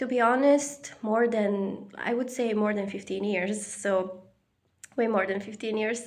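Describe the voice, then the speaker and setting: Her intonation fairly even, a woman with a non-native accent speaks amid audible room echo. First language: not English. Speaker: spiritual vlogger. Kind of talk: personal reflection monologue. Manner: halting, many fillers.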